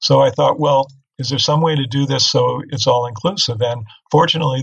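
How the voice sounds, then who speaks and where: Somewhat breathy, a man with an American accent talks at a fairly quick pace and ordinary pitch variation. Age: 60s. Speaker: investment researcher and author. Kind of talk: interview. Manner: hesitant, many fillers.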